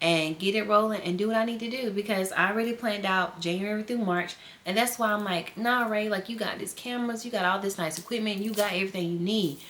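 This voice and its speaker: Over noticeable background noise, the speaker has an animated tone, a fairly quick pace and ordinary pitch variation. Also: woman. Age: 20s. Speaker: teacher and lifestyle vlogger. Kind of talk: casual vlog talk to viewers. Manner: fast.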